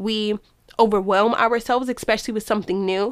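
At a fairly quick pace, a woman speaks in an ordinary speaking voice at a medium pitch with ordinary pitch variation, in a very clean recording with a silent background. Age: 20s. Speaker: podcast host. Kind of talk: casual monologue.

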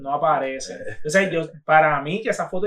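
A man's fairly quick speech with ordinary pitch variation. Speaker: podcast host. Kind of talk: casual chat. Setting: studio.

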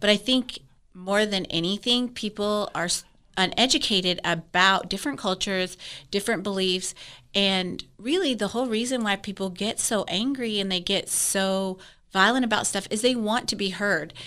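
A woman speaks at a medium pitch and moderate pace in a bright, sharp tone. Her pitch variation is ordinary. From Wyoming. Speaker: esthetician and med spa co-owner. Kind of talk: casual chat.

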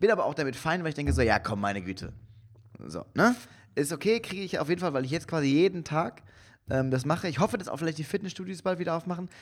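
A man talks at a very fast pace with lively intonation. His fairly high voice carries vocal fry. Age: 30s. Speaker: podcast co-host and comedian. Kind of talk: casual chat. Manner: halting.

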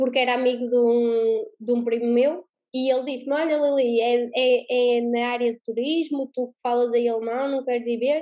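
A woman's high-pitched voice, dark and mellow in tone, with monotone, flat intonation. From Portugal. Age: 20s. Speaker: spiritual coach and mentor. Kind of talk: interview.

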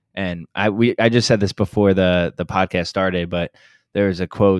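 Recorded very cleanly against a silent background, a man with a very deep, low pitch speaks at a moderate pace with fairly even intonation and a dry, close sound with no echo. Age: 20s. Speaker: fitness coach. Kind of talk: casual chat.

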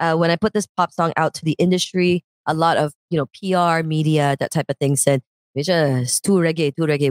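A woman's very deep, low voice, fairly even in intonation and very even in loudness, at a fairly quick pace, with a dry, close sound and no echo. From Canada. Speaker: musician. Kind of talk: casual chat. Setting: online call.

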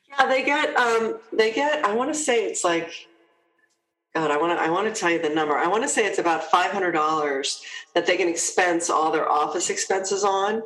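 In an American accent, a woman speaks at medium pitch with very wide pitch swings, and room echo is audible. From US, New Jersey. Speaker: HR executive. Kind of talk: interview.

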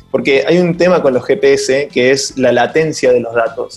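Music plays in the background behind a voice with fairly even intonation. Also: man. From Argentina, Córdoba. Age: 30s. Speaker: tech startup founder. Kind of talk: interview. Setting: remote call.

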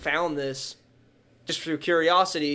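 A man's bright, sharp tone, monotone and flat, at a moderate pace in a very clean recording with a silent background. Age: 20s. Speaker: coin and card dealer. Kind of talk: casual interview.

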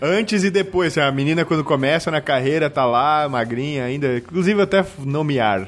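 A man with an ordinary speaking voice, fairly high in pitch, with lively intonation, very even loudness, a moderate pace and hardly any pauses. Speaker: podcast host. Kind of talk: casual chat.

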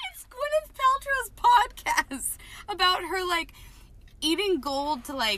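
At a fairly slow pace with long, frequent pauses, a woman speaks in a raised, projected voice at an extremely high pitch. Her tone is bright and sharp, with very wide pitch swings and big swings in loudness. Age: 30s. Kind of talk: casual chat. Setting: in a car.

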